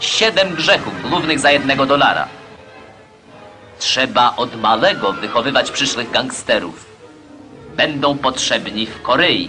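Music plays in the background. A man with a fairly high pitch talks at a very slow pace. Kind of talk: propaganda newsreel narration. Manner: declamatory, accusatory.

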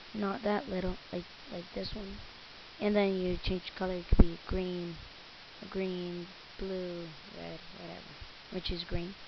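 Over noticeable background noise, a woman speaks at a fairly slow pace in a monotone, flat intonation with long, frequent pauses. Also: big swings in loudness. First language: Spanish. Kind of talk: software tutorial narration. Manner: casual, hesitant.

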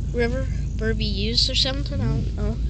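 Loud background noise surrounds a woman speaking. The sound itself is dry with no echo. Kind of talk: casual vlog chat. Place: car. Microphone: phone near.

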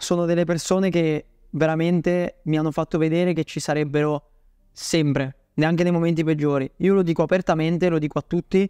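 This man's voice has a dark, mellow tone and flat, monotone intonation, with very even loudness, a dry sound with no echo, and a quiet background. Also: fairly quick pace. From Bolzano, northern Italy; northern Italy. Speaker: email marketing agency owner; podcast guest. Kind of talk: interview. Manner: halting. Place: home room.

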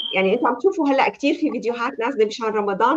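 Talking at a very fast pace with a Levantine accent, a woman uses a high pitch over light background noise. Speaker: talk show host and life coach; talk show host, life coach. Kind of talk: live talk show. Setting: video call. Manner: warm, welcoming. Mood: warm, friendly. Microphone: video call.

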